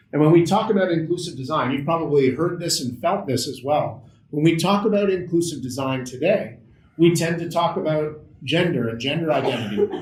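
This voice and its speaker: Speaking with a Canadian accent, a man talks at a fairly quick pace with a fairly high pitch, and audible room echo surrounds him. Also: ordinary pitch variation. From Canada, Ottawa. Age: 40s. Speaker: accessibility consultant. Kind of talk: workshop presentation.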